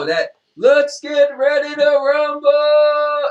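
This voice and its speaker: A man's put-on character voice at an extremely high pitch and a very slow pace. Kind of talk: boxing ring announcer.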